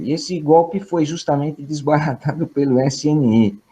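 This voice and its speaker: Dark and mellow in tone, a man talks at a fairly slow pace. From Brazil. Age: 60s. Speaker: professor. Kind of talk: opening remarks at online lecture. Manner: hesitant, many fillers.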